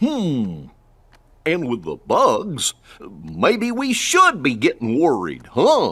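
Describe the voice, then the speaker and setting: The voice is a put-on character voice. It moves at a very slow pace. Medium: video game.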